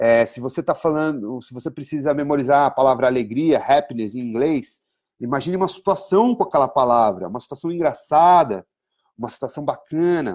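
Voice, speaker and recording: In an ordinary speaking voice, a man talks at a fairly high pitch with big swings in loudness. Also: fairly quick pace. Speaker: English teacher. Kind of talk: online lesson. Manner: conversational, many fillers.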